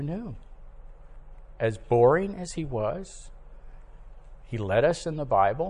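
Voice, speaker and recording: In a room with audible echo, a man speaks at a very slow pace in a fairly high, somewhat breathy pitch, with very wide pitch swings and long, frequent pauses. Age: 70s. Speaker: preacher. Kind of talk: sermon. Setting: church.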